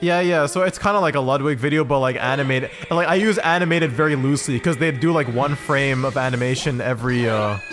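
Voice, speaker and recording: Racing at a very fast pace with hardly any pauses, a man with a fairly high pitch keeps a very even loudness and ordinary pitch variation over background music. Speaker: streamer. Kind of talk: casual chat. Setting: in person with co-hosts.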